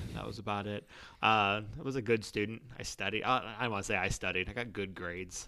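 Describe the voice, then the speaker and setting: Very fast speech from a man with a fairly low pitch, a bright, sharp tone and fairly even intonation, on a very clean recording with a silent background. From Toledo, Ohio, US Midwest. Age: 30s. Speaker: warehouse operations manager, former teacher. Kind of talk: casual interview.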